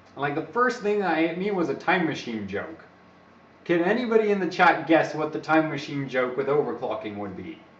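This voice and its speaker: Talking at a fairly quick pace, a man uses a fairly high pitch with very wide pitch swings, amid audible room echo and noticeable background noise. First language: not English. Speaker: overclocking live streamer. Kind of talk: live stream chat with tutorial. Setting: live stream. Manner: casual, rambling.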